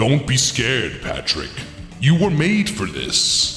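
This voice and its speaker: A man puts on a character voice, fairly high in pitch and fairly slow in pace. Clear echo surrounds him, and clear music plays in the background. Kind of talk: spooky queen-like voice. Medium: game stream. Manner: teasing, knowing.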